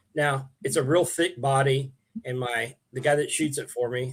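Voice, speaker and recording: The speaker is a man with a medium-pitched, somewhat breathy voice. His intonation stays fairly even. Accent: American. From Oklahoma, around Piedmont. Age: 60s. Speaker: bass angler and bait maker. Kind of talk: casual interview chat. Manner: halting, many fillers and restarts.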